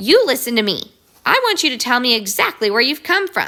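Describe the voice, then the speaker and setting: Shouting in a put-on character voice, a woman speaks high and fairly quickly, her pitch swinging very widely. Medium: read story.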